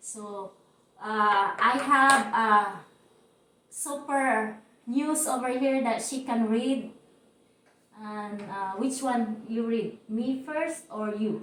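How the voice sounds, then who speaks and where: In a Cebuano accent, a woman with a fairly high pitch and ordinary pitch variation talks at a very slow pace with long, frequent pauses, amid audible room echo and noticeable background noise. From Philippines, Cebu region. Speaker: YouTuber. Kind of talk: casual chat.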